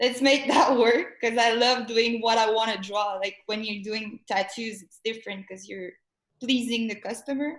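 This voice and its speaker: A woman with a French accent talks at a fairly high pitch and a moderate pace, with fairly even intonation and big swings in loudness. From Montreal, Quebec. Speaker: artist. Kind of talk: casual chat. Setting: live stream.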